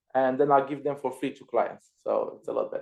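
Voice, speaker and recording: A man speaks at a moderate pace with a Romanian accent. His pitch is fairly high. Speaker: Amazon seller and virtual assistant trainer. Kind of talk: casual chat. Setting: live stream video call.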